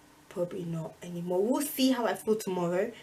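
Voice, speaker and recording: A woman speaks at a fairly quick pace with very wide pitch swings. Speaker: student vlogger. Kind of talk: casual vlog talk. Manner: fast.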